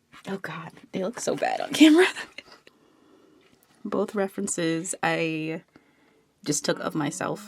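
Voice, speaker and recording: Soft-spoken delivery comes at a fairly slow pace with noticeable background noise. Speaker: artist vlogger. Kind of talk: vlog monologue. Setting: at home, filming herself. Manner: soft-spoken, talking quietly.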